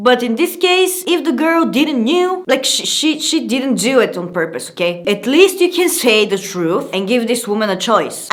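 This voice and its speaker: Over noticeable background noise, a woman with a fairly high pitch speaks at a moderate pace with very wide pitch swings. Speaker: YouTuber hosting a video channel. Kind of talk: casual talk to camera reading anonymous confessions with commentary.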